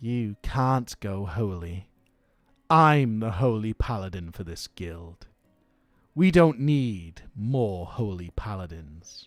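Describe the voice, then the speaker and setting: Over music in the background, a man in a put-on character voice speaks very slowly, fairly low in pitch, with lively intonation. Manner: very stern, scolding.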